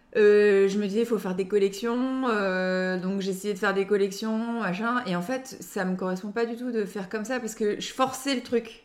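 Speech with fairly even intonation and hardly any pauses plays over noticeable background noise. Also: woman, medium pitch for a woman, moderate pace. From Lille area, northern France. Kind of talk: casual interview. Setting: at own home. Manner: hesitant, laughs often.

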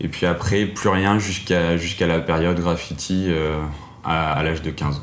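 With noticeable background noise and audible room echo, a man speaks at a very deep, low pitch and a moderate pace with fairly even intonation. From France, Auvergne. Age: 20s. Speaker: photographer. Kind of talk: interview monologue. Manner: hesitant, with fillers.

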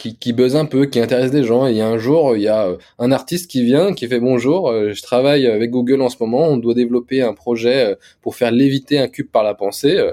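In a very clean recording with a silent background, a man with a dark, mellow tone speaks at a moderate pace, with a medium pitch and ordinary pitch variation. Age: 20s. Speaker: tech startup founder. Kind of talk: interview.

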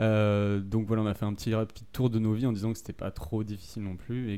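In a fairly low pitch, a man speaks with a dark, mellow tone. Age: 20s. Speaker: podcast co-host. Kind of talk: casual chat. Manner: halting.

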